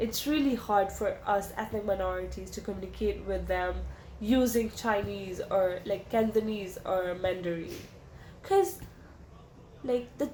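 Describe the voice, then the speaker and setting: A woman with a Pakistani accent at a fairly slow pace, with lively intonation and audible room echo. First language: Urdu. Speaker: interviewee. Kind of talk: interview answers. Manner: casual, hesitant.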